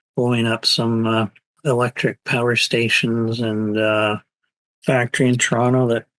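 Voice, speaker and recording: In a quiet background with a dry, close sound and no echo, a man talks at a fairly slow pace and medium pitch in an ordinary speaking voice. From Canada. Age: 60s. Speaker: anarchist writer and activist. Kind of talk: interview answer.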